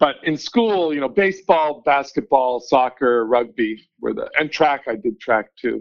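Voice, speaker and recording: A man with a Canadian accent and an unremarkable speaking voice, fairly high in pitch, with ordinary pitch variation at a moderate pace. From Vancouver, Canada. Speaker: newspaper editor. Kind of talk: interview.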